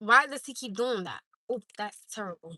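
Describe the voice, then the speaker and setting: In an American accent, a woman talks at a moderate pace with ordinary pitch variation and a bright, sharp, animated tone. The sound is dry and close, with no echo. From Newark, New Jersey. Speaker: live streamer. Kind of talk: casual chat.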